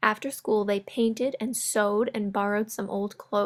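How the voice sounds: A natural reading voice moves along with intonation that is fairly even.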